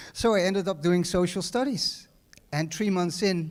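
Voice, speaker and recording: A man with a Dutch accent speaks at a high pitch and a fairly slow pace. His pitch varies in an ordinary way, and audible room echo surrounds him. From Netherlands. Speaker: hotel manager. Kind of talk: graduation speech. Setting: stage with audience. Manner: halting, many fillers and repeats.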